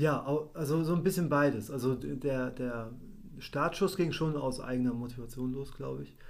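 At a moderate pace, a man with a medium-pitched voice speaks with ordinary pitch variation, with audible room echo around him. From Germany. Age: 30s. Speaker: church musician. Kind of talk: casual interview.

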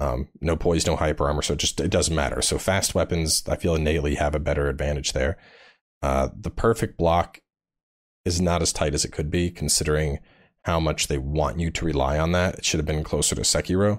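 This man has a very deep, low pitch with vocal fry and very even loudness. He talks at a fairly quick pace on a very clean recording with a silent background. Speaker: gaming YouTuber. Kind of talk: casual chat.

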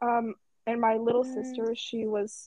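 A woman talks at a moderate pace in an ordinary speaking voice. Her pitch is fairly high. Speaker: podcast host. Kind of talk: casual chat.

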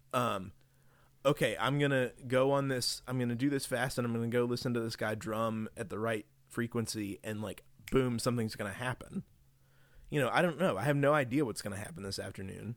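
A man talks at a fairly quick pace in an ordinary speaking voice, with medium pitch and ordinary pitch variation. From West Virginia. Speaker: religion lecturer. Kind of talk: casual chat.

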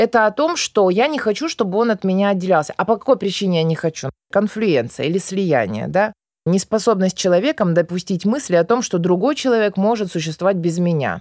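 With a normal speaking voice, a woman talks at medium pitch and a fairly quick pace with lively intonation. The sound is dry and close with no echo. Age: 30s. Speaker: psychologist. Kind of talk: interview.

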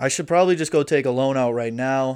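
Over a silent background on a very clean recording, a man talks fairly quickly at medium pitch with fairly even intonation. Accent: Upper Midwest. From Wisconsin, US Midwest. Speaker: podcast host and aspiring stand-up comedian. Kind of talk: casual solo monologue. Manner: crude, joking.

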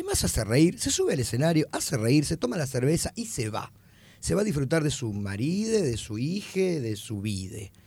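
A man speaks in a Rioplatense accent at a fairly high pitch, his voice somewhat breathy with a dark, mellow tone. His pitch swings very widely. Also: moderate pace. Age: 40s. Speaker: comedian. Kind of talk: casual chat.

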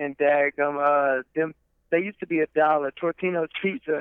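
With fairly even intonation and a fairly high pitch, a man speaks at a moderate pace. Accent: Southern US. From Alabama (Troy area). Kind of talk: casual chat.

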